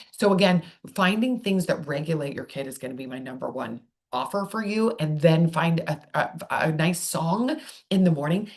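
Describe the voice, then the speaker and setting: A woman talks at a moderate pace in a somewhat breathy, fairly low voice. Her intonation is lively. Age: old. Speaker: speech therapist. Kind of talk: video tutorial. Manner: halting, with repeated filler words.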